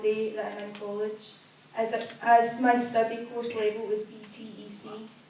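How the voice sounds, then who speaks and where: Over noticeable background noise, a woman with a fairly high pitch talks at a moderate pace. Her intonation is monotone and flat, while her loudness swings widely. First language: Chinese. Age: young. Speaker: deaf student giving a presentation. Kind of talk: prepared presentation read aloud.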